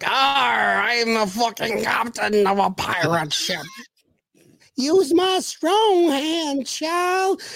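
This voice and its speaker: A put-on character voice is pitched high and swings very widely. It moves at a very slow pace. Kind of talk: pirate speech. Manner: gruff, swaggering.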